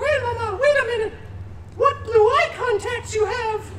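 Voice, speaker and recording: Over noticeable background noise, a put-on character voice squeaks at an extremely high pitch and a moderate pace. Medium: stage play. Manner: sing-song, mock naive.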